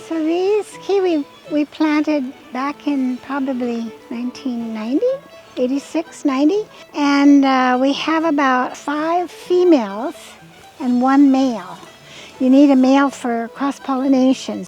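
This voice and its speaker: Music plays in the background. The speech is fairly slow with ordinary pitch variation. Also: woman, high pitch for a woman. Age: 80s+. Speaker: organic farmer. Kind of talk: interview answer.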